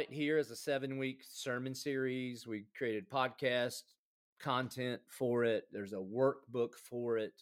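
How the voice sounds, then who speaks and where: Speaking with a Southern US accent, a man talks at a fairly slow pace with fairly even intonation. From South Carolina. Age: 40s. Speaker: pastor. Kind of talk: casual chat.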